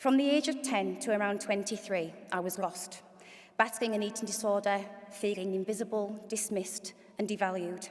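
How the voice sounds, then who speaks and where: Over noticeable background noise, the speaker talks with a Hull accent and fairly even intonation. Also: woman, medium pitch for a woman, moderate pace. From northern England, Hull. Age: 40s. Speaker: event MC and charity CEO. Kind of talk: event hosting speech with personal testimony. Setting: stage with audience in auditorium.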